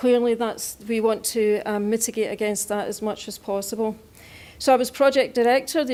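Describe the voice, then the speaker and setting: A woman with a dark, mellow tone and fairly high pitch speaks at a moderate pace with fairly even intonation. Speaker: defence scientist. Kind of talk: acceptance speech.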